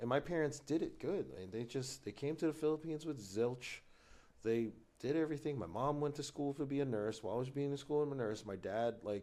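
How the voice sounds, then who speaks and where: A man talks at a fairly quick pace with a dark, mellow tone. His pitch is fairly high, with ordinary variation. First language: Tagalog. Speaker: business executive. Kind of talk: casual chat.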